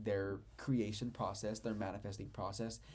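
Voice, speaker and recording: Vocal fry runs through a man's voice, which has ordinary pitch variation and audible room echo. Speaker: spiritual teacher. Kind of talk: lecture. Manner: fast; animated.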